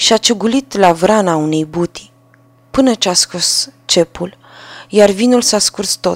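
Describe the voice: What you hear is plain reading aloud.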